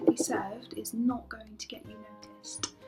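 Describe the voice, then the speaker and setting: A woman's high-pitched voice in a British accent, with ordinary pitch variation and music in the background. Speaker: customer service worker. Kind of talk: vlog rant to camera.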